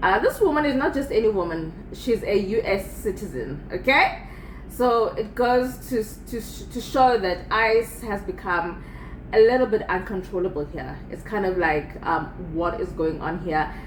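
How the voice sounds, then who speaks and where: Over noticeable background noise and audible room echo, a woman speaks at a moderate pace in a fairly high voice with lively intonation. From South Africa. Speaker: video commentator. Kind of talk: casual commentary. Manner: halting, repetitive.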